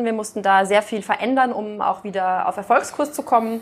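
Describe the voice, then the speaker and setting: A woman speaks in an unremarkable speaking voice, medium in pitch with ordinary pitch variation. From Austria. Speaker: business executive. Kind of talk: interview.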